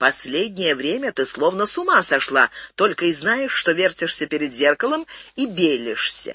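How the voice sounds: What plays is a natural reading voice. That voice runs throughout.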